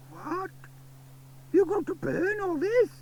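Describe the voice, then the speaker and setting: A put-on character voice over clear background noise. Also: man, extremely high pitch for a man. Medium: read story. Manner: grumbling, gossipy.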